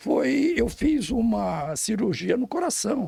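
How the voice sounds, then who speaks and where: A man's voice with very wide pitch swings, in a dry, close sound with no echo. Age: 80s+. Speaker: psychologist and retired navy pilot. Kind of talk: casual interview.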